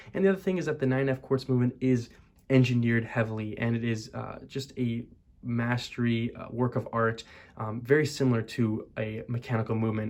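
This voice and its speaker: A quiet man at a fairly quick pace. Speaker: watch reviewer. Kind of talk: product review talk to camera. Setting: college dorm room. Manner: monotone, quiet; hushed, not loud.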